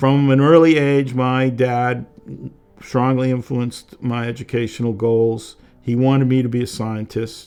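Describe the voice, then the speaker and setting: With music in the background, a man with an American accent speaks at a fairly slow pace. His medium-pitched voice stays in a flat monotone. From Massachusetts, Boston. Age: 70s. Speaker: tech consultant. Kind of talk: documentary interview.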